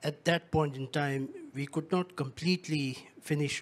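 In a normal speaking voice, a man talks at a moderate pace with a fairly high pitch and fairly even intonation. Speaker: UN secretariat official; panelist. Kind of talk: panel discussion. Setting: stage with audience. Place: stage. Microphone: handheld.

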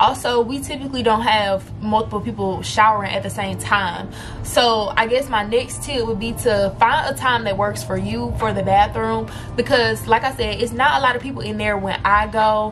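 Woman's voice at a moderate pace over faint music in the background. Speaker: college student vlogger. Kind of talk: casual vlog chat.

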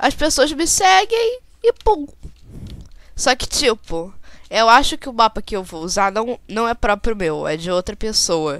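Speaking in a Brazilian accent, a woman uses a fairly high pitch, a fairly slow pace and an animated tone. Her pitch swings very widely, and her loudness rises and falls sharply. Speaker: gaming YouTuber. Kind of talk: gameplay commentary.

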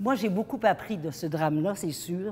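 Here a woman speaks with lively intonation. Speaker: keynote speaker. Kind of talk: motivational talk. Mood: earnest, personal storytelling.

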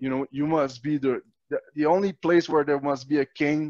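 In a Quebec accent, a man speaks at a moderate pace and fairly high pitch with fairly even intonation, over a quiet background with a dry sound and no echo. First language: French. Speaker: natural law activist and video host; video host. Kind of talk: interview conversation. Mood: angry, indignant. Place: home room. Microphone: headset.

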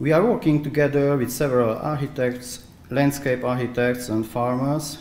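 A medium-pitched male voice with audible room echo. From Transylvania, Romania. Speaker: architect and researcher. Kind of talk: conference presentation. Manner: halting, hesitant with fillers. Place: hall. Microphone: podium.

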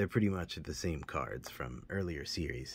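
At a moderate pace, a man talks with a very deep, low pitch and vocal fry. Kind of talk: casual collection tour. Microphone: phone near.

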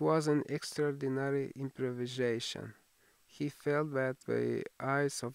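In a natural reading voice, the intonation remains fairly even.

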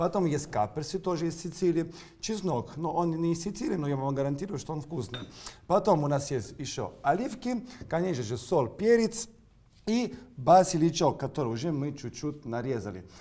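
Speaking at a moderate pace with an Italian accent, a man uses lively intonation and a dark, mellow tone. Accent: Italian-accented Russian. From Sicily, Italy. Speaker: chef. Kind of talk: cooking demonstration. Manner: animated. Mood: warm, friendly. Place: kitchen. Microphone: lapel.

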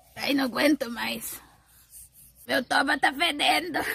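Putting on a whiny character voice, a woman speaks high-pitched at a fairly slow pace with ordinary pitch variation. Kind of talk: comic parody redub, rural caipira slang. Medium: fan dub. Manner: whiny, complaining about the heat.

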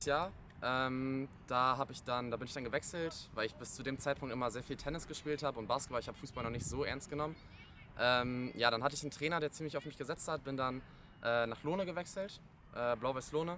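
Against light background noise, a man speaks very fast at a medium pitch with ordinary pitch variation and a dry sound with no echo. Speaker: football goalkeeper. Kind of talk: casual chat. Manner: halting. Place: open country.

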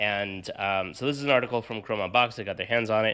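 A man's fairly low-pitched voice, bright and sharp in tone, over a quiet background. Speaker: tech podcast host. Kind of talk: casual chat. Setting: hotel room. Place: home room. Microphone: studio mic.

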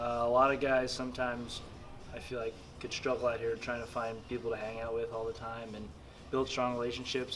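A man talks at a fairly quick pace. Light background noise sits behind him. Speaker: interviewee. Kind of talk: interview answer. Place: meeting room.

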